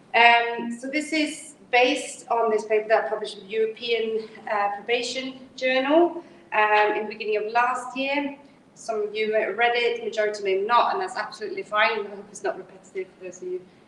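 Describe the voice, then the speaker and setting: Talking at a fairly quick pace, a woman shows big swings in loudness and ordinary pitch variation, with noticeable background noise behind her. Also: fairly high pitch for a woman. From Sweden. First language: Swedish. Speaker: criminology researcher. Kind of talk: academic seminar talk. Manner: fast; hesitant, many fillers.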